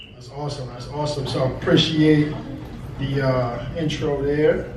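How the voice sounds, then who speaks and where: Against noticeable background noise, a man with a fairly high pitch talks at a moderate pace, his volume rising and falling sharply. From Brooklyn, New York. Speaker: spoken word poet. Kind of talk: live stage talk to audience. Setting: live venue. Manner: upbeat, energetic.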